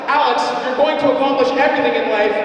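Strong room echo and light background noise accompany speech at a very fast pace. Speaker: PA announcer at seniors' night. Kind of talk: PA announcement reading tributes. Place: hall.

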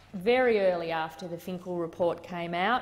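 An Australian accent is heard here. The voice belongs to a woman. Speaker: senator. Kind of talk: parliamentary debate. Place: hall. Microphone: podium.

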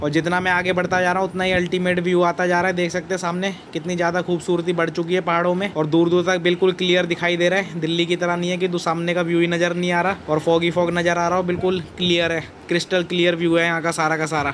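Speaking fast with few pauses, a man uses a high pitch, a fairly bright tone and monotone, flat intonation over faint background noise.

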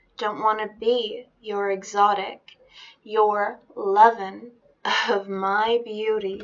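A woman speaks at a very slow pace. Her intonation is monotone and flat. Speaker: poetry reader. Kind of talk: spoken-word reading of a defiant feminist poem. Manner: rhythmic, emphatic spoken-word cadence with repeated refrains. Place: home room. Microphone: webcam.

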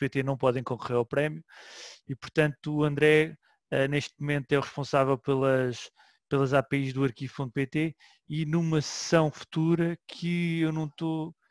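Over a quiet background with a dry sound and no echo, a man with an unremarkable speaking voice talks at a fairly high pitch, with fairly even intonation and a moderate pace. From Portugal. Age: 40s. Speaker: web archive manager and session host; session host. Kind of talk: online seminar hosting. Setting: online session from home. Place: home room. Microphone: headset.

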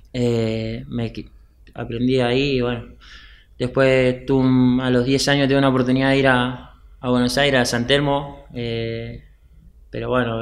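A man speaks in a monotone with flat intonation. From Argentina, Patagonia (Chubut). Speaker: professional footballer. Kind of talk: casual interview. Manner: halting, many repetitions. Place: studio. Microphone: studio mic.

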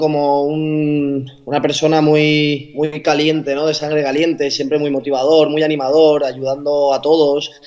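Speaking at a moderate pace with hardly any pauses, a man has a fairly high-pitched voice. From Gandia, Valencia region, Spain; Valencia region, Spain. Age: 20s. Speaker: basketball player; guest. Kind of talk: interview. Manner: talkative. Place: home room. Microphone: video call.

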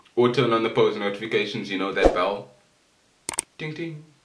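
A man talks as noticeable background noise carries on around him. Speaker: anime commentary youtuber. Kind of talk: casual vlog chat. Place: home room. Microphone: camera far.

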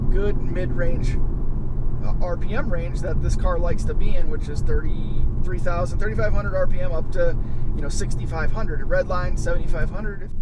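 A man speaks at a very slow pace. His voice sounds dry with no echo, over loud background noise. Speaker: car vlogger driving. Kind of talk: casual vlog chat. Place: car. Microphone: camera far.

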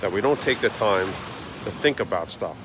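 Noticeable background noise surrounds a man with a fairly low voice. The sound is dry, with no echo. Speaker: daily vlogger. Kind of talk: motivational casual vlog talk. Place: beach. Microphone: phone near.

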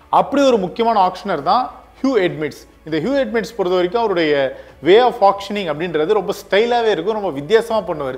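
A man with a high pitch and lively intonation. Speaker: sports news presenter. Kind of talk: cricket news commentary to camera.

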